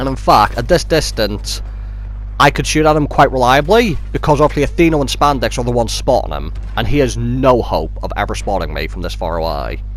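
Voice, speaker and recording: A man talks fairly quickly while noticeable noise fills the background. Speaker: gaming commentator. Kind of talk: video game commentary. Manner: casual.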